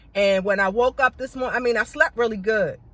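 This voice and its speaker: A woman with ordinary pitch variation. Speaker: beauty vlogger. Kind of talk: casual vlog monologue. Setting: in a car. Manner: loud.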